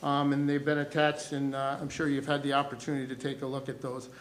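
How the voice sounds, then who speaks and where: This is a man's voice. It sits at a fairly high pitch. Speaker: athletic director. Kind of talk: presentation at school board meeting. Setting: board meeting with YouTube stream. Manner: loud.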